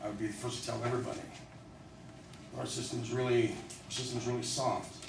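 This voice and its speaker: Amid noticeable background noise and audible room echo, a man of medium pitch talks at a very fast pace. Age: 40s. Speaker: former prisoner and public speaker. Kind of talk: talk to a live audience. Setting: room with audience, being videotaped. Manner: halting, with repeated words.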